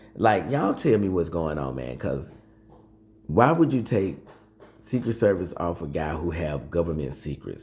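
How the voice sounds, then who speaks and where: Very deep and low with vocal fry, a man's voice carries lively intonation broken by long, frequent pauses. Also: moderate pace. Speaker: political commentary youtuber. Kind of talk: casual vlog commentary. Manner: halting, many fillers.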